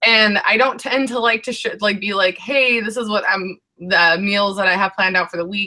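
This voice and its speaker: Her speech, from a woman with an unremarkable speaking voice, moves at a moderate pace with hardly any pauses, a medium pitch and ordinary pitch variation. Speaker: weight loss vlogger. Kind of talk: casual chat.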